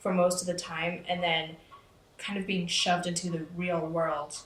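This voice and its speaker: Fairly slow speech from a woman with a fairly low voice, plus some audible echo from the room. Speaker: interviewee. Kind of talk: casual interview.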